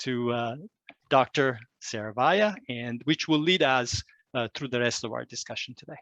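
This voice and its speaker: A man with an Italian accent talks at a fairly slow pace and a medium pitch. His pitch varies in an ordinary way, and the sound is dry and close with no echo. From Italy. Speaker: climate educator. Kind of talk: presentation. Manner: halting, many fillers.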